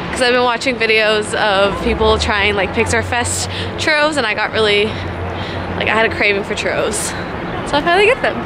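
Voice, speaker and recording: A woman talks at a fairly quick pace. Crowd noise fills the background. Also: dry sound with no echo. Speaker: vlogger. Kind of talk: casual vlog chat. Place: waterside. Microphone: phone near.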